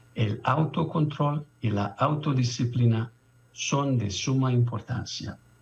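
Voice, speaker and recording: A man with a non-native accent speaks at a very slow pace and medium pitch, somewhat breathy. The background is quiet. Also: ordinary pitch variation. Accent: foreign accent in Spanish. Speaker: international conference speaker, doctor. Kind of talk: conference presentation. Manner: halting.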